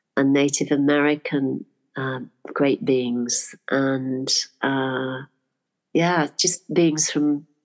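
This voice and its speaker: Against a quiet background, a woman speaks with an English accent. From UK. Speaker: spiritual teacher and art teacher. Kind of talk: interview storytelling.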